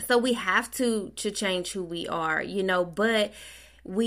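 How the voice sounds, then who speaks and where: A woman with an unremarkable speaking voice talks at a fairly slow pace and medium pitch, using ordinary pitch variation, on a very clean recording with a silent background. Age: 30s. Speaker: podcast host. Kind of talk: casual monologue. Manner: conversational, with laughs.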